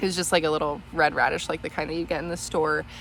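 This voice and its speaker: A woman speaks with a fairly low pitch. Her voice has vocal fry. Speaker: home gardener / homesteading vlogger. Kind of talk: casual garden tour vlog. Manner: casual with many fillers (um, like).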